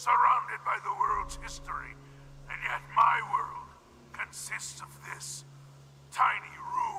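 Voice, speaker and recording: A man in a put-on character voice, at a fairly slow pace with long, frequent pauses. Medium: video game. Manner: polite, halting, articulate.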